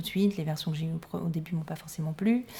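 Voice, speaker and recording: At a very fast pace, a woman speaks with a somewhat breathy, dark, mellow tone and a fairly low pitch. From Corsica (Cap Corse), half Sicilian. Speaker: singer and star impersonator. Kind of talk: radio interview.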